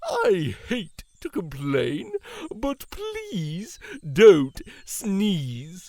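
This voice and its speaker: Speaking at a very slow pace, the put-on character voice sits at a middle pitch. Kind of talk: children's picture book read-aloud. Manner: pleading.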